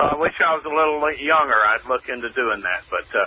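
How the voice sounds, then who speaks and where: Noticeable background noise surrounds a man whose speech moves at a moderate pace. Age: 70s. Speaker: radio caller. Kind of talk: phone-in question.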